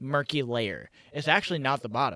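With a normal speaking voice, a man talks at a fairly high pitch. His pace is fairly quick and the sound dry and close with no echo. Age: 20s. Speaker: podcast co-host. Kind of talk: casual chat. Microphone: microphone shorted out, slight echo.

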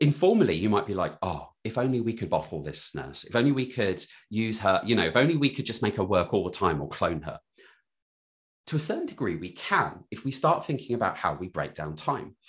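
A man speaks at a fairly quick pace from a medium pitch. His voice has vocal fry and very wide pitch swings. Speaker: digital health consultant. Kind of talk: interview.

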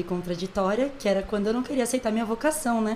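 Fairly high in pitch, a woman speaks at a very fast pace with ordinary pitch variation. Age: 20s. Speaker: church music and dance minister. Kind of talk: casual chat.

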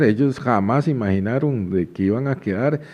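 A man speaks at a moderate pace. He has a Costa Rican accent. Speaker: podcast host. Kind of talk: casual chat.

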